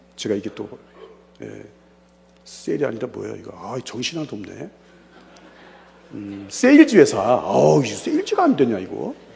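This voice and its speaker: Over noticeable background noise, a man talks with big swings in loudness and long, frequent pauses. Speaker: pastor and evangelism lecturer. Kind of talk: seminar lecture with personal testimony. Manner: fast; animated, conversational.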